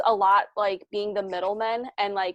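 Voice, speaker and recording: A woman's fairly high voice at a moderate pace, dry and close with no echo. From immigrant to the US. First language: not English. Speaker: business founder. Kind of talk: interview. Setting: podcast. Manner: many fillers and restarts.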